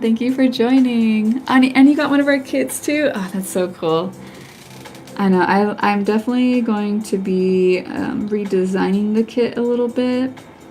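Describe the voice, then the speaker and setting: A woman speaks at a fairly high pitch and a moderate pace, with ordinary pitch variation. Noticeable background noise is present. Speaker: henna artist. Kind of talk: live stream tutorial while chatting with viewers. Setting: live stream. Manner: casual, chatty with filler words.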